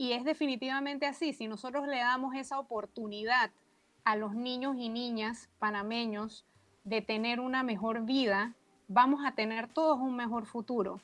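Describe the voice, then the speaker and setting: A woman's high-pitched voice moves at a moderate pace with fairly even intonation. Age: 40s. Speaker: early childhood advocate. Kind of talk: radio panel discussion.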